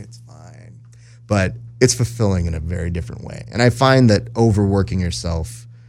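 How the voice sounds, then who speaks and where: A man talks at a fairly quick pace with ordinary pitch variation. There is noticeable background noise behind him. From US, Mexican-American family. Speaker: jiu-jitsu podcaster and social media manager. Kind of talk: casual interview chat. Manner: animated.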